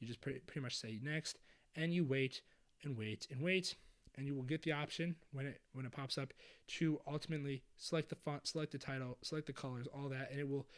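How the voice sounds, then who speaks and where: Energetic in tone, a man speaks at a fairly quick pace with a fairly high pitch. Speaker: video editing youtuber. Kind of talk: tutorial. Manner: casual, energetic.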